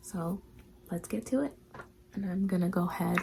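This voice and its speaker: Noticeable background noise surrounds the speech. A woman talks with ordinary pitch variation. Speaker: beauty vlogger. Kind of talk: makeup tutorial.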